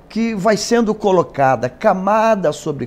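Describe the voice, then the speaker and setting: A man's high-pitched voice at a very slow pace, full of very wide pitch swings. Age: 60s. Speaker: pastor. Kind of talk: interview. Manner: hesitant, many filler sounds.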